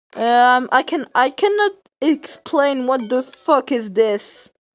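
A high-pitched woman speaks with lively intonation. Her pace is very slow. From France. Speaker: streamer. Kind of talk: casual chat. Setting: live stream. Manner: animated.

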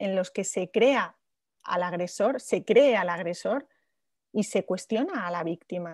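Her intonation rises and falls in a lively way. The woman talks at a very slow pace. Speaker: journalist moderator. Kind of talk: interview. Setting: video call. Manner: halting.

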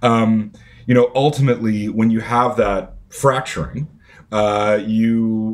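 A man is talking. His pace is very slow. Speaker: podcast guest. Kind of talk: interview answer. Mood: serious, thoughtful. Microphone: earbuds.

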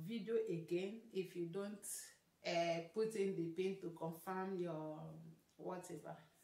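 Audible room echo hangs around the voice. It belongs to a woman. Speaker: vlogger. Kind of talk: casual vlog chat. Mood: mildly frustrated, then upbeat. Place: home room.

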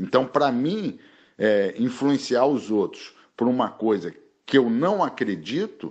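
A man speaks at a very slow pace. His medium pitch moves in very wide swings. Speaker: martial arts master. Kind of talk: interview.

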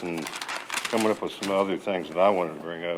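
There is noticeable background noise behind this recording. A man speaks at a very deep, low pitch with ordinary pitch variation. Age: 60s. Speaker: veteran, public commenter. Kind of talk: public comment. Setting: council chambers. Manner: hesitant, many fillers.

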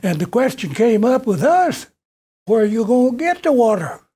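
The voice swings very widely in pitch. It comes with a Kentucky accent. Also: man. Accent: Southern US (Kentucky). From western Kentucky. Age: 80s+. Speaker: retired educator and local historian. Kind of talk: public talk, memoir lecture. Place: meeting room. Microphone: podium.

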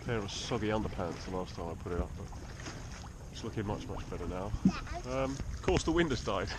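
Over loud background noise, someone talks at a fairly quick pace in a dry sound with no echo. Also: man. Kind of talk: casual vlog chat. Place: boat. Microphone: phone near.

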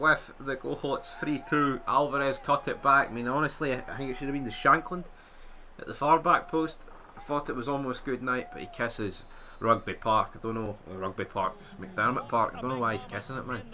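With a Scottish accent, a man talks at a fairly quick pace in a fairly high pitch, with ordinary pitch variation and big swings in loudness. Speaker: gaming YouTuber. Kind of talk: live commentary. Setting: gameplay voiceover. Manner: excitable; animated, loud.

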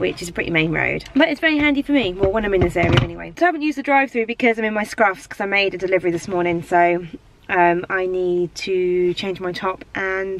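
Over light background noise, a woman talks at a very fast pace with hardly any pauses. The sound is dry with no echo. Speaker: lifestyle vlogger. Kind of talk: casual vlog chat. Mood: chatty, amused, a bit indignant. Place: car. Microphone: phone near.

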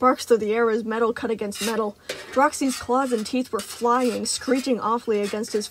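The speaker has a natural reading voice. Intonation remains fairly even throughout.

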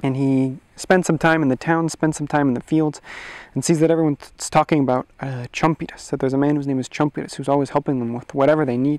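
Over a quiet background, a man talks at a very fast pace with monotone, flat intonation. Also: dry sound with no echo. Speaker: storyteller. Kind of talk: oral storytelling. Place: forest. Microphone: lapel.

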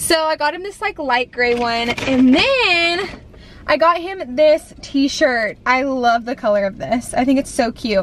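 A woman's high voice with a fairly bright tone, lively intonation and a fairly slow pace, over faint background noise

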